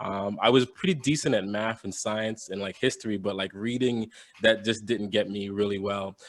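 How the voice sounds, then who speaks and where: A man talks in an American accent at a moderate pace. His pitch is fairly low and his intonation fairly even. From Jamaica, then Bronx New York from age seven. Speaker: entrepreneur and podcaster. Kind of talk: interview.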